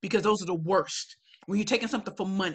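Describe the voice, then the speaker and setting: A woman speaks at a medium pitch with ordinary pitch variation. Her tone is animated. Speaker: professional speaker. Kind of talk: webinar Q&A. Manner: loud.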